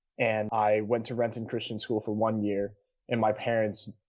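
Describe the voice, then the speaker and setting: With a West Coast US accent, a man talks at a moderate pace in a medium pitch. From Seattle area, US Pacific Northwest. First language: Cantonese. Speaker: college student. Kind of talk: podcast interview.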